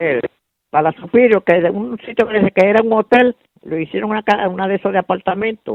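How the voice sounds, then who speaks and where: Fairly quick, high-pitched speech from a man, its pitch varying in an ordinary way. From Mayagüez, Puerto Rico. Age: 80s+. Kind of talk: interview answer. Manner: hesitant, repetitive.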